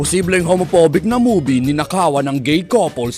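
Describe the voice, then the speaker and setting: A man's fairly high voice swings very widely in pitch while music plays behind him. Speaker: parody trailer narrator. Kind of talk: parody movie trailer narration.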